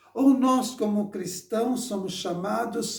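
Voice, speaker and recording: A man speaking at a fairly slow pace. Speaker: preacher. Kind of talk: sermon. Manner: halting, with repetitions.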